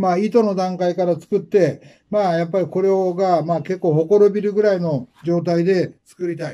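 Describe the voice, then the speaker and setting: A man with a high-pitched voice and a dark, mellow tone speaks at a moderate pace with fairly even intonation against a quiet background. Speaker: fashion stylist. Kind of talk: casual monologue. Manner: hesitant, many filler words. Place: shop.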